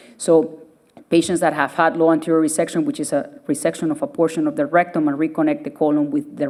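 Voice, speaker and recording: In a Spanish accent, a woman speaks at a very fast pace and a fairly low pitch. Her pitch swings very widely. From Venezuela. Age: 30s. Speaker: surgeon. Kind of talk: public lecture.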